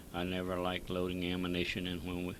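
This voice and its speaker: A man speaks with a Texas accent in a very deep, low voice. His pace is fairly quick. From Texas, San Antonio. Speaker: war veteran. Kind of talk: reading aloud.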